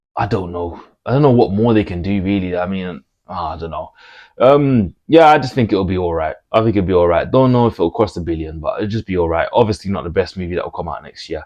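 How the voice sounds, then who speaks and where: In a Birmingham accent, a man talks at a moderate pace with lively intonation against a quiet background. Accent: Brummie. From Birmingham, England. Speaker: movie commentator YouTuber. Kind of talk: casual vlog monologue. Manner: casual, hesitant with fillers and repetitions.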